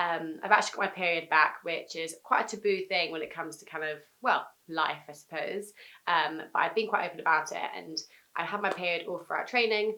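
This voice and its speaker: A woman speaks at a fairly quick pace with a fairly low pitch and ordinary pitch variation. Her tone is bright and sharp, and her loudness swings widely. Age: 20s. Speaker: endurance athlete. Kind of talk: casual vlog update. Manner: fast; hesitant, many ums.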